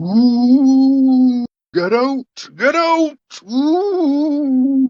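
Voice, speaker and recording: Someone does a put-on character voice at a high pitch. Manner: shouting, spooky.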